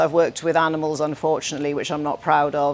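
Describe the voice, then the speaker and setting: Here is a woman with a Welsh accent. Her pitch is very deep and low. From Wales. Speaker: scientist and speaker. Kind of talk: conference talk.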